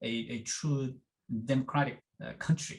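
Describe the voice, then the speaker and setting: Speaking with a Korean accent, the man has a medium pitch, ordinary pitch variation and a fairly slow pace. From South Korea. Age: 50s. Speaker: education professor. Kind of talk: interview. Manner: halting, many fillers.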